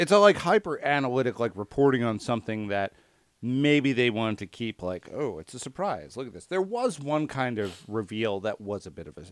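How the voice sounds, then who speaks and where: On a very clean recording with a silent background, a man speaks at a moderate pace and medium pitch. His pitch swings very widely, and the sound is dry and close with no echo. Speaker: podcast host. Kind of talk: casual chat.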